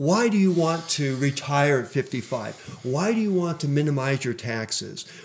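Speaking in a normal speaking voice at a fairly high pitch, a man talks fairly slowly with lively intonation and hardly any pauses. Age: 60s. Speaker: financial coach. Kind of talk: interview. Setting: radio studio.

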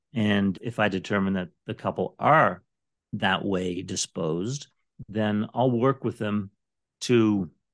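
Set against a quiet background, a man with an unremarkable speaking voice speaks in a fairly low pitch with ordinary pitch variation. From Canada. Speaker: divorce financial planner. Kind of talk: podcast interview.

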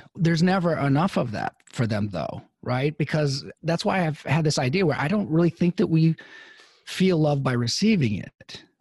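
Somewhat breathy, a man talks with lively intonation. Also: dry, close sound with no echo. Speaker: psychologist podcast co-host. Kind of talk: casual chat.

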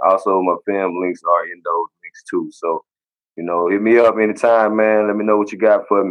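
Moderate-paced male speech, fairly low in pitch, monotone with flat intonation. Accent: Mississippi. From Mississippi. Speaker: football player. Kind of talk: interview.

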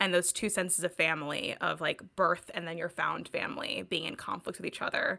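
A woman talks at a fairly quick pace with hardly any pauses. The recording is very clean, with a silent background. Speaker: podcast co-host. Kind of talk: casual book discussion.

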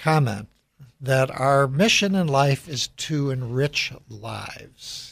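An unremarkable speaking voice from a man with an American accent, ordinary pitch variation, and a very clean recording with a silent background. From US Midwest, Chicago. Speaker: radio host and CEO. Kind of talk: radio interview.

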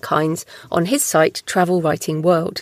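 A woman uses a plain, everyday voice at a fairly low pitch and a moderate pace. The sound is dry and close, with no echo. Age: 40s. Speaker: podcast host and author. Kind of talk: solo podcast reading prepared notes.

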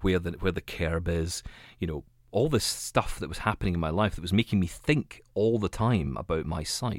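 With a Scottish accent, a man with a very deep, low pitch speaks at a moderate pace with lively intonation, in a very clean recording with a silent background. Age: 30s. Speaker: radio and tech podcast host, blind. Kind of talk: interview.

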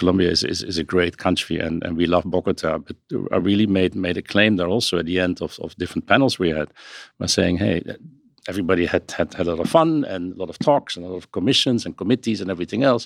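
Recorded dry and close with no echo against a quiet background, a man with a very deep, low voice talks at a very fast pace. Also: ordinary pitch variation. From Netherlands. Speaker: luxury industry finance consultant. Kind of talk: podcast interview. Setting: studio. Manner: halting.

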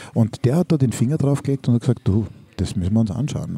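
A man with a medium pitch talks at a moderate pace with ordinary pitch variation, his tone dark, mellow and somewhat breathy. The sound is dry and close, with no echo. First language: Hungarian and German (bilingual) (speaking German). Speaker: teacher and podcast co-host. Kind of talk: casual chat. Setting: school cafeteria.

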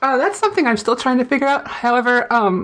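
This is a woman talking with an American accent. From Fargo, North Dakota. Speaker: indie gamer and writer.

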